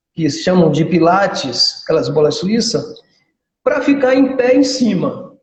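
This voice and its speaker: Audible room echo surrounds a man who speaks at a fairly slow pace in a high voice with very wide pitch swings. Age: 60s. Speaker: physical education professional and karate instructor. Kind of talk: casual interview chat.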